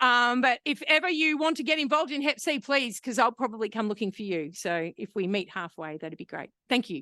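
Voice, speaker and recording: Against a quiet background with a dry, close sound and no echo, a woman with an Australian accent talks at a fairly quick pace with hardly any pauses, her high-pitched, bright, sharp voice making very wide pitch swings. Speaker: hepatitis C program manager and researcher. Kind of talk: conference presentation. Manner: loud; animated.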